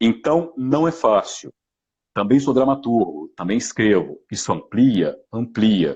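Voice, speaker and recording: The speaker moves at a very slow pace. The loudness stays very even. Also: man. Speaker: actor and voice actor. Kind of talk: live stream talk. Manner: halting.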